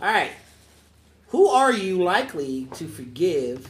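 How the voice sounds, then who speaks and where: A man's fairly high voice swings very widely in pitch as he talks at a fairly slow pace. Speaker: podcast host and youth mentor. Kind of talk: casual group conversation podcast with teens. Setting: around a table at an after-school program. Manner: playful, teasing, conversational.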